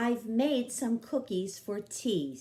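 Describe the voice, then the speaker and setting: A put-on character voice growls. Its pitch sits fairly high. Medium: read story. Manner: warm, patient.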